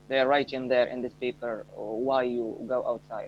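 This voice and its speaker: At a moderate pace, a man with an Arabic accent speaks in a medium pitch with monotone, flat intonation. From Morocco. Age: 20s. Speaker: English learner, air conditioning technician. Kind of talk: casual chat. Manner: halting.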